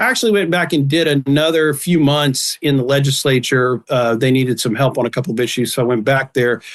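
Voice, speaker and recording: A fairly high-pitched man's voice at a fairly quick pace, with very even loudness and ordinary pitch variation. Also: hardly any pauses. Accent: Texan. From Texas, Dallas-Fort Worth area. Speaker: election commissioner. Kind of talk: podcast interview.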